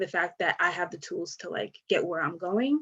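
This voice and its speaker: A woman's voice at a medium pitch. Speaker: panel moderator and poet. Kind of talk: panel discussion. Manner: soft-spoken.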